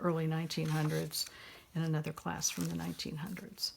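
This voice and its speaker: A woman's very deep, low, somewhat breathy voice with an American accent and monotone, flat intonation. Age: 70s. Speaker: journal maker and retired nurse. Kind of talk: craft show-and-tell. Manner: halting.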